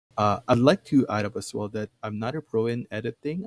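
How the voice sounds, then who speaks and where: Recorded dry and close with no echo, a man with a non-native accent speaks with ordinary pitch variation. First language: not English. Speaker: tutorial creator. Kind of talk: tutorial. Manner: hesitant, many fillers.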